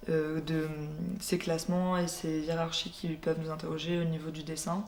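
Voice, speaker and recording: Amid audible room echo, a woman speaks at a moderate pace in a fairly low voice with monotone, flat intonation. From France, Burgundy (Dijon). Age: 20s. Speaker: visual artist. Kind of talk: interview monologue. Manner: hesitant, many filler sounds.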